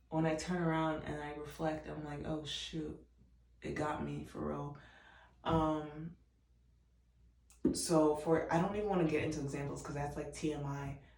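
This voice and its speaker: Soft-spoken and very low-pitched, a woman talks at a moderate pace with fairly even intonation and long, frequent pauses, her voice carrying audible room echo. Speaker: vlogger. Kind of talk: casual chat.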